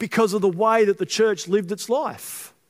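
A loud, high male voice at a fairly quick pace. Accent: Australian. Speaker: pastor. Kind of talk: sermon. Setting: church.

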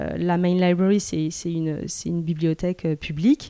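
A woman's dark, mellow tone at a moderate pace, dry and close with no echo, in a very clean recording with a silent background. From southern France, Mediterranean coast. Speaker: artist. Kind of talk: interview. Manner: halting, many repetitions and hesitations.

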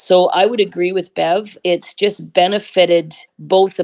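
With a Canadian accent and a normal speaking voice, a woman talks at a fairly slow pace in a fairly low pitch with fairly even intonation, the sound dry and close with no echo. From British Columbia, Canada. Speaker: national team staff member. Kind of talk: interview.

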